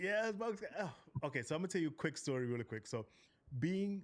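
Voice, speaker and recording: A man speaks at a very fast pace with an American accent. His tone is animated, and his pitch swings very widely. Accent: Geechee accent may slip in. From South Carolina (Charleston, Gullah Geechee area). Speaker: podcast host, military veteran. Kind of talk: casual interview chat.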